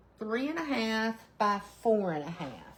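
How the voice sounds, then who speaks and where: Animated and at a fairly high pitch, a woman speaks at a fairly slow pace with very wide pitch swings. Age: 60s. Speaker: craft livestreamer. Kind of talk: live craft stream chat. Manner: chatty, animated.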